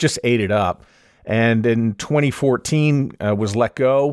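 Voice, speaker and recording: Recorded very cleanly against a silent background, a man with a Canadian accent speaks at a medium pitch with ordinary pitch variation in an unremarkable speaking voice. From Canada, Montreal. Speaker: podcast consultant. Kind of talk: interview.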